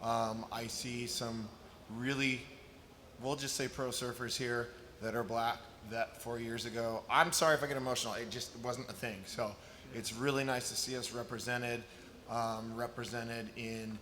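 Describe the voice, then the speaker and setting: In an American accent, a man with a medium-pitched voice speaks at a moderate pace amid noticeable background noise and audible room echo. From Chicago, US. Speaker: eco surfboard builder. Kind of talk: panel discussion. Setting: stage with audience. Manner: loud; animated.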